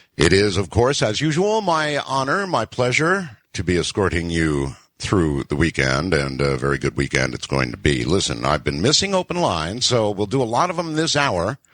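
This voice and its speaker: A man with a very deep, low pitch and vocal fry, very wide pitch swings, a moderate pace and hardly any pauses. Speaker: radio talk show host. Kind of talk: late-night radio show hosting. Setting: radio broadcast.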